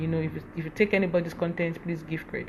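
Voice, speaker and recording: A woman's voice, fairly low in pitch. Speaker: social media influencer. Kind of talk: live stream talk. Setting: Instagram live session. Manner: fast.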